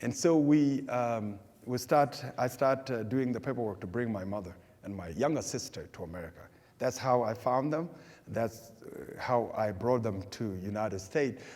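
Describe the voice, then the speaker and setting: Speech moves at a moderate pace. Pitch variation is ordinary. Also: man, medium pitch for a man. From South Sudan. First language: Dinka. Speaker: refugee speaker. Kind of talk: public talk with Q&A. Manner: halting, many repetitions.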